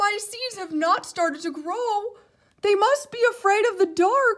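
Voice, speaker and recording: The speaker uses a put-on character voice. It sits at an extremely high pitch. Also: fairly slow pace. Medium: read story. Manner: earnest, excitable.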